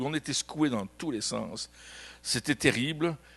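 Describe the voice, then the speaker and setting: In a Belgian accent, a man speaks with an animated tone and ordinary pitch variation. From Belgium. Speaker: pastor. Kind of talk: sermon. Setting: church.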